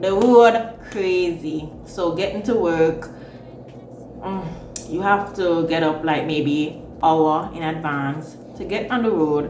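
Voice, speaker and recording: Amid noticeable background noise and audible room echo, a woman speaks at a very slow pace. Her pitch is fairly low, with ordinary variation. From Jamaica. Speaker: vlogger. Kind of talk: casual chat.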